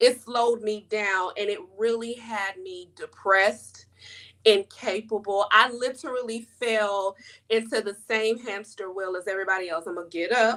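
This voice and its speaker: A woman with a bright, sharp, animated tone and fairly high pitch speaks at a moderate pace with big swings in loudness. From US South. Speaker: life coach and author. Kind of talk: interview.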